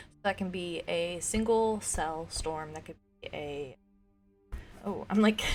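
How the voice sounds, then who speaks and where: A woman speaks with lively intonation at a medium pitch. Music plays in the background. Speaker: podcast host. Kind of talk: casual chat. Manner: animated.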